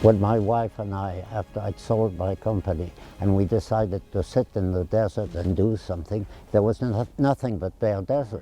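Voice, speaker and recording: Moderately paced speech from a man, fairly low in pitch with ordinary variation, over background music. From France. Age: 90s. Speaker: town founder, retired businessman and former Marine. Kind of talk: interview.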